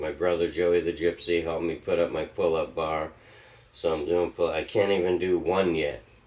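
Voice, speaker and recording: This man's pitch is very deep and low, with monotone, flat intonation. He keeps a moderate pace. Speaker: vlogger. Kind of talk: casual vlog monologue. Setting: at home. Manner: mumbling, sometimes slurred; uneven pace.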